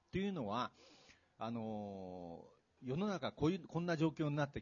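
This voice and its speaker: Delivery comes at a moderate speed. Its pitch leaps very widely. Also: man. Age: 60s. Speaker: retired executive and author. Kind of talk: public talk event interview. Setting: stage with audience.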